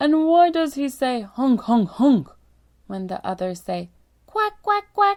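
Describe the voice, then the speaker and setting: In a put-on character voice, a female-sounding voice speaks at a fairly slow pace with a high pitch and very wide pitch swings. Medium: read story.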